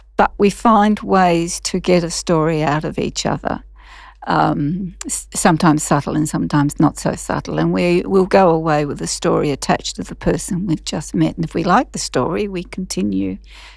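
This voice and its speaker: A woman talks at a moderate pace with an Australian accent. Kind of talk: podcast interview answer.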